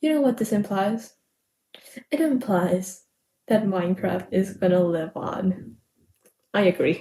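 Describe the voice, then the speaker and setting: In an American accent, a somewhat breathy woman with a dark, mellow tone speaks at a fairly slow pace, using lively intonation, long, frequent pauses and very even loudness. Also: medium pitch for a woman. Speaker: podfic reader. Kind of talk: casual chat; reading aloud. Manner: halting with self-corrections.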